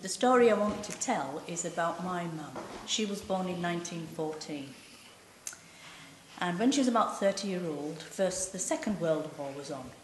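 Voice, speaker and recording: A woman with a Cumbrian accent speaks at a moderate pace in a fairly low voice with lively intonation. Audible room echo and noticeable background noise surround her. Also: big swings in loudness. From West Cumbria, northern England (Cockermouth). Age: 60s. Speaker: oral history storyteller. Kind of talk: oral history testimony. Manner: conversational, unscripted.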